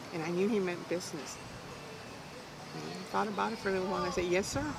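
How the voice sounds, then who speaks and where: Over noticeable background noise, a woman with an American accent talks at a very fast pace. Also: medium pitch for a woman, ordinary pitch variation. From South Texas. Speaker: arm wrestler. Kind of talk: oral history interview answer. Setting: outdoors. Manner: lively storytelling.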